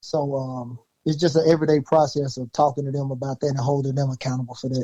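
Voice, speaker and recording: In a Southern US accent, a man talks at a fairly quick pace with a dark, mellow tone. His intonation is flat and monotone, and the sound is dry and close with no echo. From Louisiana, USA. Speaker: high school coach. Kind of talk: interview answer.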